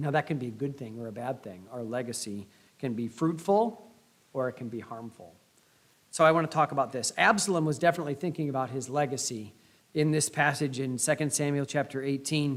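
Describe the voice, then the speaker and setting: A man with a Midwestern US accent talks at a fairly quick pace. His pitch is fairly high, and his loudness swings widely. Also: ordinary pitch variation. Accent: US Midwest. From Indiana, US Midwest. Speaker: pastor. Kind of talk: sermon.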